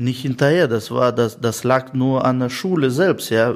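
A man speaks at a fairly slow pace. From Russia, Russian-German family, moved to Germany at 12. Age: 30s. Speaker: tradesman and business owner. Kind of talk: interview. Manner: many hesitations and fillers.

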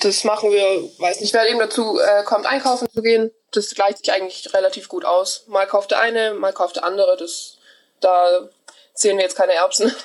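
A woman talks in a fairly high register at a medium speed, an unremarkable speaking voice with ordinary pitch variation. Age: 20s. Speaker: hotel apprentice. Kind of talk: casual interview.

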